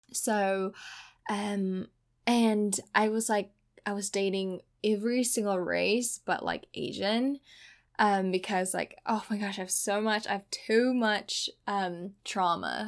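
A woman speaks at a very slow pace with fairly even intonation. The recording is very clean, with a silent background. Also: medium pitch for a woman. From Indonesia. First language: Indonesian. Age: 20s. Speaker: podcast host. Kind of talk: casual monologue. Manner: laughs often.

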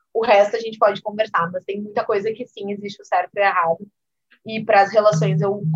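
A woman of medium pitch speaks at a fairly quick pace, somewhat breathy, with monotone, flat intonation. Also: big swings in loudness. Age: 30s. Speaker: business executive and entrepreneur. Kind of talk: interview.

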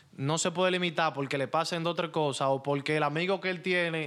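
A man talks at a very fast pace, his high pitch carried on fairly even intonation. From Santo Domingo, Dominican Republic (Los Mina). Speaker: DJ. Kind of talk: casual interview.

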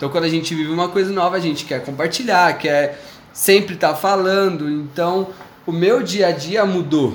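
The speech moves at a moderate pace with ordinary pitch variation, set against noticeable background noise and audible room echo. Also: man, high pitch for a man. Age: 20s. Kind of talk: personal faith testimony in casual chat.

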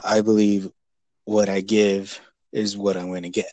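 A man's fairly low voice with an American accent, at a moderate pace, in a flat monotone. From California, Bakersfield. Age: 20s. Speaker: HVAC technician. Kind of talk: casual chat. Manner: halting.

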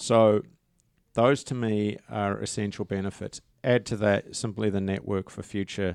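A man with a New Zealand accent talks fairly slowly at a fairly low pitch with fairly even intonation, in a dry, close sound with no echo on a very clean recording with a silent background. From New Zealand (rural Waikato). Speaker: tourism professor and association chairman. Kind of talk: interview. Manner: halting.

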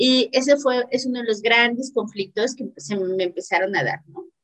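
A woman with a normal speaking voice, fairly slow in pace, with ordinary pitch variation. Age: 30s. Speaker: entrepreneur and academic. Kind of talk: casual interview.

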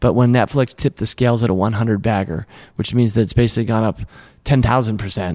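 A man speaks with an energetic tone and a Mid-Atlantic US accent. His pace is fairly quick. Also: dry, close sound with no echo. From Washington, D.C. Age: 50s. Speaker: investor and company co-founder. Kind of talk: interview conversation.

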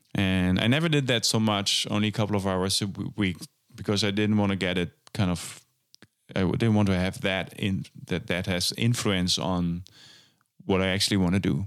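A man speaks with a German accent at a fairly low pitch. His loudness stays very even. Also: ordinary pitch variation, moderate pace. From western Germany. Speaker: jazz drummer and festival organizer. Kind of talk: casual interview. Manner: hesitant, many fillers and repetitions.

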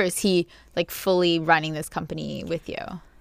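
On a very clean recording with a silent background, a woman speaks at a moderate pace in a fairly low pitch. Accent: Canadian. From Toronto, Canada. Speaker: podcast host and YouTuber. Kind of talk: casual chat. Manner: animated.

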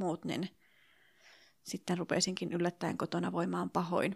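A woman with a medium pitch speaks with vocal fry. The recording is very clean, dry and close, with a silent background and no echo. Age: 40s. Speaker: early childhood teacher sharing infertility story. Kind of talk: interview testimony. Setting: hotel room in Helsinki.

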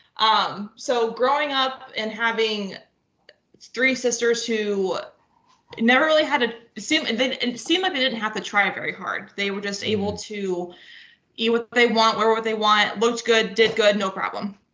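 A woman speaks at a moderate pace with a Midwestern US accent. Her pitch is fairly high. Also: ordinary pitch variation. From northwest Ohio. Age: 20s. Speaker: nurse. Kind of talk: casual chat.

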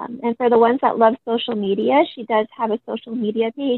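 With an American accent, a woman speaks at a moderate pace in a fairly high pitch, an ordinary speaking voice. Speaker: crime survivor's sister. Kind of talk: interview testimony.

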